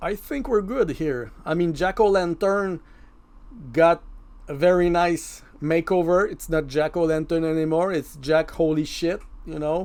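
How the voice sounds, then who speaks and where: In a French accent, a man speaks at a high pitch and a fairly slow pace, with ordinary pitch variation. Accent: French accent, self-described as bad. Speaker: mask maker and prop artist. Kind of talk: tutorial voice-over. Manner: casual, conversational.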